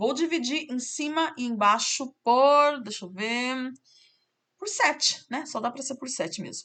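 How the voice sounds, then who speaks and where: With a high pitch and a bright, sharp tone, a woman speaks at a fairly slow pace using lively intonation. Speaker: math teacher. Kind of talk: tutorial.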